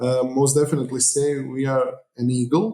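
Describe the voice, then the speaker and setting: A man with a Croatian accent speaks slowly-ish at a fairly slow pace, medium in pitch, with a dark, mellow tone and monotone, flat intonation. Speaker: mayor. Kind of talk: interview. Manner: hesitant.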